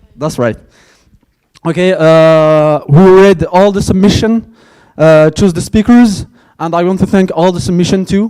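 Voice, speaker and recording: Speaking with a French accent, a man with a high pitch and a dark, mellow tone talks at a fairly slow pace with ordinary pitch variation and long, frequent pauses. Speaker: conference organizer. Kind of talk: closing speech. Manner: halting.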